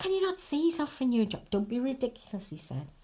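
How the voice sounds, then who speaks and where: Somewhat breathy and dark, mellow in tone, this voice moves at a moderate pace through very wide pitch swings. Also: woman. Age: 70s. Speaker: army wife and daughter, oral history interviewee. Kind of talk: oral history interview. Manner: conversational, anecdotal.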